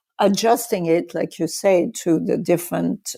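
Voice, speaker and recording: Marked by vocal fry, a woman's dark, mellow tone carries ordinary pitch variation. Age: 60s. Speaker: author. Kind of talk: interview.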